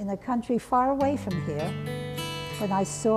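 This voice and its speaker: Over music in the background, a woman with a medium pitch speaks at a fairly slow pace with very wide pitch swings. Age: 80s+. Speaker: artist and art educator. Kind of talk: interview answer.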